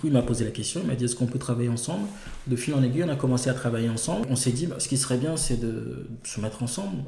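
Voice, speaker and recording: Talking at a very fast pace, a man speaks in a medium pitch. Audible room echo and noticeable background noise come through. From Togo. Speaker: entrepreneur. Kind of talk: interview.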